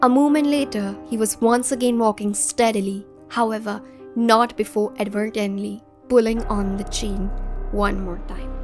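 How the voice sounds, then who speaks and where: Over music in the background, a woman with a fairly high pitch talks at a moderate pace with ordinary pitch variation. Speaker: audiobook narrator. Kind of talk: audiobook narration.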